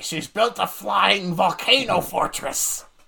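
A man puts on a character voice with a high pitch. He delivers it at a fairly slow pace. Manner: smug, matter-of-fact.

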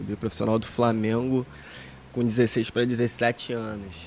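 A man at a fairly slow pace. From Rio de Janeiro, Brazil (Jacarepaguá). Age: 30s. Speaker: professional footballer. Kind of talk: casual chat.

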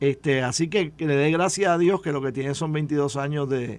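At a fairly slow pace, a man with a fairly high pitch talks in an ordinary speaking voice with ordinary pitch variation. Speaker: former politician and commentator. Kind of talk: radio panel discussion.

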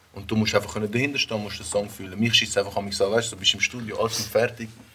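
Over music in the background, a man of medium pitch speaks at a fairly quick pace. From Zürich Oberland, Switzerland. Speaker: rapper. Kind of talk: casual chat.

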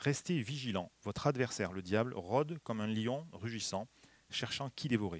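A man's medium-pitched, ordinary speaking voice at a moderate pace with lively intonation. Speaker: preacher. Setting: church. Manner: warm, light humor, earnest and exhortative when applying the text.

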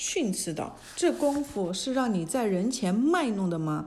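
Lively intonation colors this reading aloud in a natural voice.

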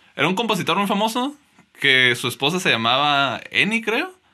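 Very wide pitch swings mark this man's speech. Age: 20s. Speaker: podcast co-host. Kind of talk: casual chat.

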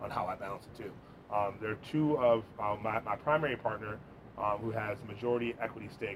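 At a moderate pace, a man talks in a medium pitch with fairly even intonation while noticeable background noise runs underneath. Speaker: business owner and managing director. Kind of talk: casual interview chat. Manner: loud, sociable talker.

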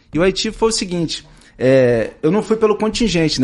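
A man at a moderate pace with lively intonation. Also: quiet background. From São Gonçalo, Rio de Janeiro state, Brazil. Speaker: federal highway police officer. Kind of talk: casual interview. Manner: hesitant, many fillers.

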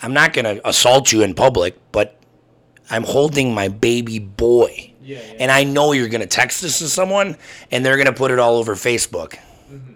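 This is a plain, everyday voice, a man with an American accent at a moderate pace. His pitch varies in an ordinary way, and his loudness swings widely. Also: medium pitch for a man. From Wisconsin (Burlington). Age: 30s. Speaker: podcast co-host. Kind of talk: casual chat.

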